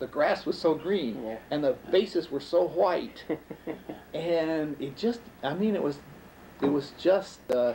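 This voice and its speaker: Fairly slow speech from a man with a fairly high pitch and lively intonation. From Jamestown, New York. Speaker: storyteller. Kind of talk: interview answer. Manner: reminiscing, hesitant.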